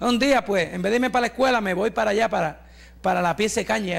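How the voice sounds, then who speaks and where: With an animated tone, a man speaks in a high pitch, his pitch varying an ordinary amount. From Puerto Rico (Santa Isabel); Puerto Rico. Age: 60s. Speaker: pastor and evangelist; pastor, evangelist. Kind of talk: sermon testimony. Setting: church with congregation. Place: church. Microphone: handheld.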